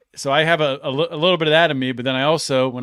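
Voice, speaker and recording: A man speaks in an ordinary speaking voice. His pitch is medium and his pace is moderate. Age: 40s. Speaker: podcast host. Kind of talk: casual chat.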